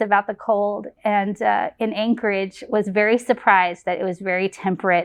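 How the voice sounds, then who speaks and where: This is an ordinary speaking voice with an American accent. The intonation is fairly even. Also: woman. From Texas, Lancaster near Dallas. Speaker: family medicine physician and residency program director. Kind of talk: program introduction testimonial.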